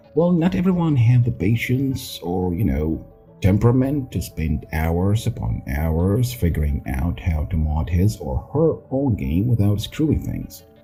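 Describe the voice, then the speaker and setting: With music in the background, a man speaks fairly slowly at a fairly low pitch, making very wide pitch swings. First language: not English. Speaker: gaming YouTuber. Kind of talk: casual game commentary.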